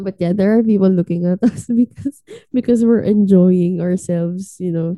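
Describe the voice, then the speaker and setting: A woman's medium-pitched voice, dark and mellow in tone, comes at a moderate pace with fairly even intonation in a dry, close sound with no echo. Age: 20s. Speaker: podcast co-host. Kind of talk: casual chat.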